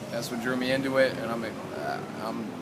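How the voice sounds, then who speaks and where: A man talks at a medium pitch. There is noticeable background noise and audible room echo. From Michigan, US Midwest. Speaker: rapper. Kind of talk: casual interview. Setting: outdoors after a show.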